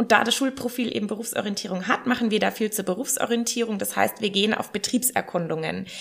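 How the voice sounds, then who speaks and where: A woman talks at a fairly high pitch. Behind her there is noticeable background noise. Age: 30s. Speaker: secondary school teacher. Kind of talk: casual interview.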